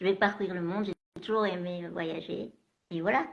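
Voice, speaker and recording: A woman of medium pitch talks fairly slowly, her pitch varying in an ordinary way. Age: 40s. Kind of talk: live video interview. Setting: live stream video call. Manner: halting.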